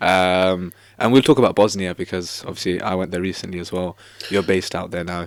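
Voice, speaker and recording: The delivery moves at a fairly quick pace with fairly even intonation. Loudness swings widely. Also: man, very deep, low pitch for a man. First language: not Arabic. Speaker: podcast host. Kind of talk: casual interview.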